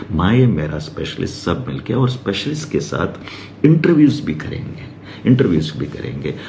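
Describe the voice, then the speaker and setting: Noticeable background noise and audible room echo sit around a man's voice. His pitch is fairly low but makes very wide swings. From Hyderabad, India. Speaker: doctor. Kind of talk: casual talk to camera. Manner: halting, many fillers.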